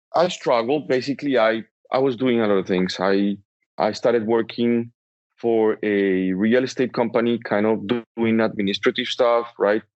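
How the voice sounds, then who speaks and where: A man with a strong Colombian accent, fairly even intonation and very even loudness. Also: medium pitch for a man, moderate pace. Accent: Colombian Spanish accent, thick. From Colombia, Bogota. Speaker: entrepreneur. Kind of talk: interview.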